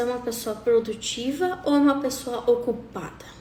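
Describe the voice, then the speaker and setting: Someone talks at a moderate pace in an animated tone, with audible room echo around the voice. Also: woman. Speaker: coach. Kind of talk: live talk.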